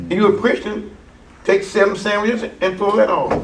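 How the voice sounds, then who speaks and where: A man with an American accent talks in a high voice with fairly even intonation. Noticeable background noise and audible room echo surround him. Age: 80s+. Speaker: preacher and Bible teacher. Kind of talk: seminar teaching. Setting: church. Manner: conversational, interactive with audience.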